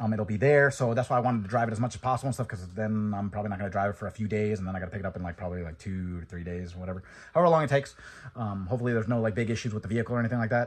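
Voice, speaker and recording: A man mumbles at a very fast pace in a fairly low, somewhat breathy voice with ordinary pitch variation over a quiet background. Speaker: car enthusiast vlogger. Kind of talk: casual vlog monologue. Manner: mumbling.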